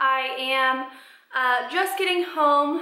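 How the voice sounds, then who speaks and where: A woman speaks in a raised, projected voice. Audible room echo fills the recording. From Colorado. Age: 20s. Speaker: vlogger, college student. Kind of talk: reading aloud; casual vlog.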